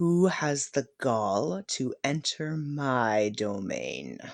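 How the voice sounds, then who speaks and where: A man puts on a rumbling character voice, fairly high-pitched, speaking very slowly against a quiet background. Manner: imposing, menacing.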